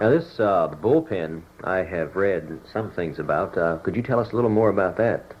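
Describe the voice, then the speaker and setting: A man with an ordinary speaking voice talks at a fairly low pitch and moderate pace, with lively intonation. He hardly pauses at all. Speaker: oral history interviewer. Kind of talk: interview questions.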